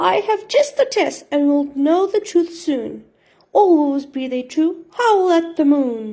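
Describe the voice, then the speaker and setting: Wheezy and creaky, a woman's put-on character voice sits at an extremely high pitch and moves at a fairly slow pace. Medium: read story.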